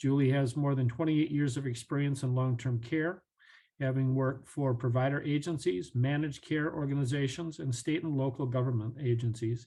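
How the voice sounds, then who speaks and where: Somewhat breathy and dark, mellow in tone, a man at medium pitch talks at a fairly quick pace with fairly even intonation and very even loudness. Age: 60s. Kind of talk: webinar presentation.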